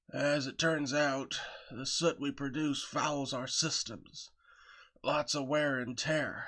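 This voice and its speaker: A man does a put-on character voice, rumbling and raspy. The background is quiet. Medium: read story. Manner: grumbling, subdued.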